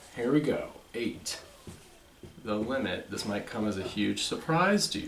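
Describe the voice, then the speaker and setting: With lively intonation, a man talks amid audible room echo and noticeable background noise. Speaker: math lecturer. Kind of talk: lecture.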